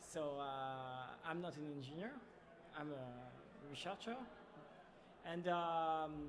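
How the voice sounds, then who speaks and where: A man with a French accent speaks at a very slow pace, with long, frequent pauses and a fairly high pitch that varies in an ordinary way. Noticeable background noise and audible room echo fill the recording. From France. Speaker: startup founder. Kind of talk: casual interview. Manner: halting.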